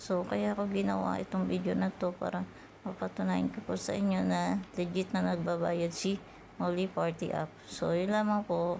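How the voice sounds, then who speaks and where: A soft-spoken woman at a moderate pace, her loudness very even throughout. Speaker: YouTuber teaching earning apps. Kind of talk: tutorial.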